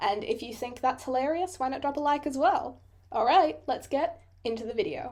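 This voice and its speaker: With an Australian accent, a woman speaks at a moderate pace in a high voice with lively intonation. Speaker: digital artist, YouTuber. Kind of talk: casual voiceover commentary. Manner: chatty, self-deprecating rambling.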